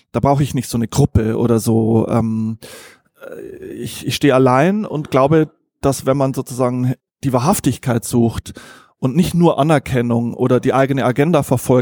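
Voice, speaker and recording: Recorded dry and close with no echo, a man speaks at a moderate pace and medium pitch in a dark, mellow tone, with ordinary pitch variation. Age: 40s. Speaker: journalist and author. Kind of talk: interview. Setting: restaurant.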